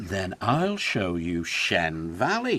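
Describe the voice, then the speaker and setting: A man's put-on character voice with very deep, low pitch. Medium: read story.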